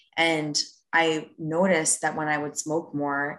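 In an American accent, a woman speaks with a very deep, low pitch and monotone, flat intonation. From Rockland County, New York. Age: 20s. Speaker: wealth management worker. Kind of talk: casual chat.

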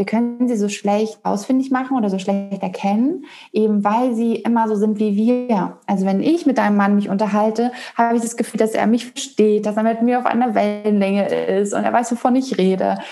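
Here is a woman with a plain, everyday voice and fairly high pitch. She keeps a moderate pace and fairly even intonation. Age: 30s. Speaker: human design coach. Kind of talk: interview.

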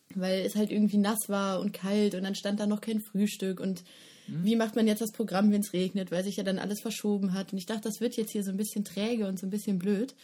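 A woman speaks at a fairly quick pace in a medium pitch, her tone dark and mellow. Her intonation stays monotone and flat, and her voice is somewhat breathy. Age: 20s. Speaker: festival organizer. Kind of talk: casual chat.

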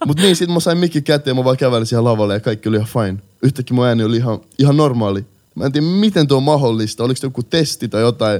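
A man's medium-pitched, very fast speech with hardly any pauses and lively intonation. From Helsinki, Finland. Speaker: rap artist. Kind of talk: casual interview.

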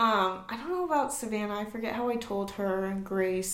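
A woman with an American accent speaks at a fairly high pitch. Audible room echo and noticeable background noise are present. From Southern California. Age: 20s. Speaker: young mother and esthetician. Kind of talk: casual interview chat.

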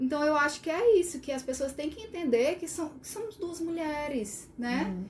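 A woman speaks at a high pitch with very wide pitch swings and big swings in loudness, at a moderate pace with hardly any pauses. Noticeable background noise is present. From Sobral, Ceará, Brazil. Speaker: occupational therapist. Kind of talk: casual chat.

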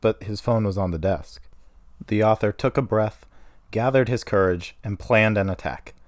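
A natural voice, reading aloud

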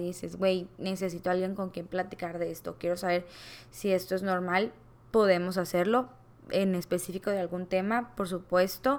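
A woman is talking. She keeps a monotone, flat intonation. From Mexico, Culiacán, Sinaloa. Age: 20s. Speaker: podcast host. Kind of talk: casual monologue.

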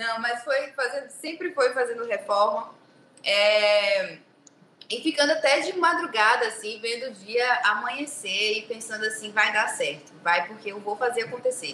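With an unremarkable speaking voice, this woman uses lively intonation and a fairly high pitch while talking at a moderate pace. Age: 20s. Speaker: biomedical aesthetics clinic owner. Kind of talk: casual interview chat. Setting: video call from her clinic.

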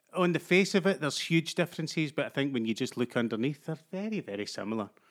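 A man with a Glaswegian accent, fairly quick and lively in intonation, in a very clean recording with a silent background. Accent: Glaswegian Scottish. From Glasgow, Scotland. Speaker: actor. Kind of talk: casual chat.

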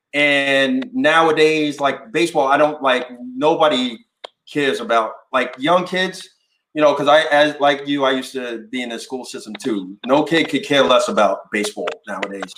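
With an American accent and a plain, everyday voice, a man speaks at a moderate pace, his fairly high pitch showing ordinary variation. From New York. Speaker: podcast host. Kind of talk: casual chat.

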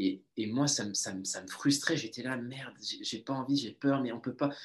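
Fairly even intonation accompanies a fairly slow pace of delivery. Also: man. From southern France, Toulouse. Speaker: entrepreneur, mastermind group founder. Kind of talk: interview. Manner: halting, many repeated words.

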